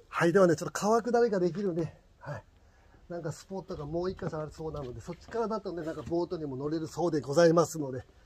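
Amid noticeable background noise, a man talks at a very fast pace with ordinary pitch variation. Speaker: vlogger. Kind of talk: casual vlog chat. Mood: cheerful. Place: waterside. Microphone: phone near.

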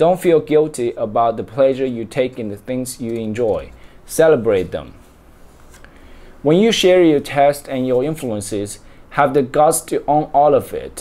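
With a Chinese accent, a man speaks at a fairly slow pace, his pitch fairly high and his tone dark and mellow. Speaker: reader. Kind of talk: book reading aloud. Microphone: webcam.

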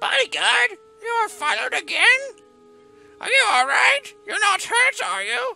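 Over faint background music, a put-on character voice at an extremely high pitch speaks with long, frequent pauses. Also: moderate pace.

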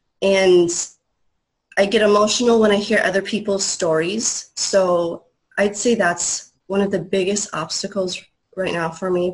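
A woman talks at a fairly slow pace against a quiet background. Her medium-pitched voice is somewhat breathy, with fairly even intonation. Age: 30s. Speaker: inspirational speaker; speaker. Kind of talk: testimony. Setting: video call. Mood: emotional, reflective. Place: home room. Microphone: video call.

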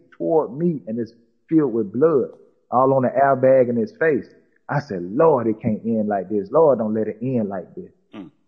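At a moderate pace, a man talks at a medium pitch with lively intonation. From Atlanta, Georgia, US South. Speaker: rapper. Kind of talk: interview testimony.

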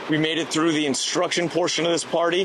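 A man's voice comes through with a dry sound with no echo, though noticeable background noise is present. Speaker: travel vlogger. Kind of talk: casual vlog chat. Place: waterside. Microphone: handheld.

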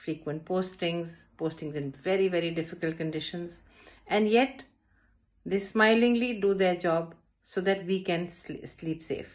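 Against a quiet background, a woman with an Indian accent speaks at a fairly slow pace in a fairly low voice. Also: ordinary pitch variation. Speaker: school director. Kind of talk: prepared address. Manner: formal. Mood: solemn, respectful. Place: home room. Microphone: phone near.

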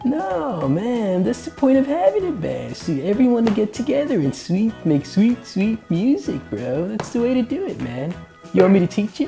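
A cartoonish character voice, fairly high and at a moderate pace, over clear background music. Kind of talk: surfer-dude slang. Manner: mellow, easygoing.

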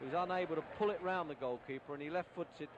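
Pitched high, a man speaks fairly quickly with ordinary pitch variation while noticeable background noise carries on. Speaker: match commentator. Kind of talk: 1970s TV soccer match commentary, archive broadcast. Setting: TV broadcast of match with replays. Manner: brisk, excitable play-by-play, rapid name-dropping of players; clipped, fluent, explaining the game for an American audience.

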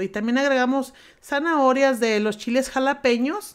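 A woman with an ordinary speaking voice talks at a moderate pace with ordinary pitch variation, on a very clean recording with a silent background. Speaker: home cooking youtuber. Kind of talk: cooking tutorial. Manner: talkative, informal.

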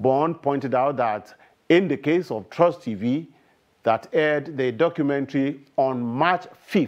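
A man speaks fairly slowly, his pitch varying in an ordinary way, against a quiet background. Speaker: news anchor. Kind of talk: news reading. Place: studio. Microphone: lapel.

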